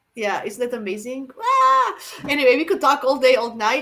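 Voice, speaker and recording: A woman with a non-native accent talks at a moderate pace in a high pitch, her tone bright and sharp. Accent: foreign. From Croatia. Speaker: astrologer, channel host. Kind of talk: casual interview chat. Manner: halting, many fillers.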